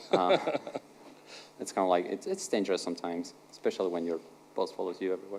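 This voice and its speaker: With a non-native accent, a man talks at a very fast pace broken by long, frequent pauses. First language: not English. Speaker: conference speaker, software engineer. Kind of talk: conference talk, two-person conversation on stage. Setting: stage with audience. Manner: halting, many fillers and repetitions.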